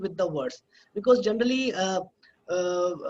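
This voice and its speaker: The voice moves at a moderate pace with an Indian accent. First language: Hindi. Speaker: academic presenter. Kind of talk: webinar lecture. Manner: halting, many filler sounds.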